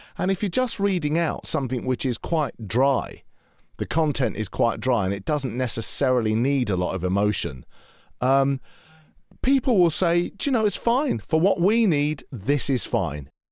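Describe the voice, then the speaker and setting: Over a silent background in a very clean recording, a man speaks at a moderate pace, his pitch swinging very widely. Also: fairly high pitch for a man. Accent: British. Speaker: voiceover artist. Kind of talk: interview commentary.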